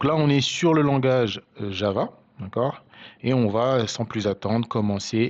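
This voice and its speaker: A man speaks at a very slow pace. His voice has a medium pitch. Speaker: programming tutor. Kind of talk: tutorial. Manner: hesitant, many fillers.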